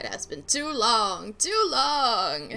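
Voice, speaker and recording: Putting on a character voice, a woman pitches it fairly high. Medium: game stream. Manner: formal, genteel.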